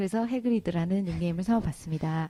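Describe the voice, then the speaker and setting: In a very clean recording with a silent background, a woman talks very fast in a dark, mellow tone with lively intonation. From Busan, South Korea. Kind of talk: casual conversational.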